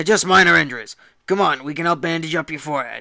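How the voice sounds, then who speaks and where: A man does a raspy, put-on character voice at a fairly high pitch and a very fast pace. The recording is very clean, with a silent background. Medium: read story. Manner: professional, calm.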